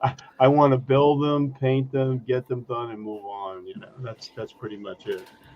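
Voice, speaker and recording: A man speaks at a moderate pace and medium pitch with ordinary pitch variation. His loudness swings widely, and background noise is noticeable. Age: 70s. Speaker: scale model hobbyist on livestream panel. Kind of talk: casual chat.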